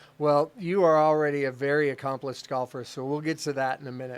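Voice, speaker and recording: A normal speaking voice at a fairly quick pace, with fairly even intonation, on a very clean recording with a silent background. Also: man. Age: 40s. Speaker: golf club interview show host. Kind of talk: interview.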